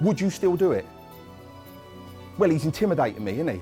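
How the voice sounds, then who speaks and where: Music in the background behind a male speaker of high pitch. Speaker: workshop presenter and bereaved uncle campaigning against violence. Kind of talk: educational workshop talk.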